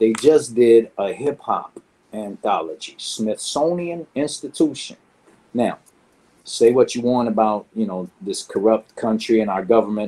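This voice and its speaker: Dark and mellow in tone, a man with an American accent speaks at a fairly slow pace in a medium pitch with ordinary pitch variation. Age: 50s. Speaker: graffiti artist. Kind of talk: interview. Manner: animated.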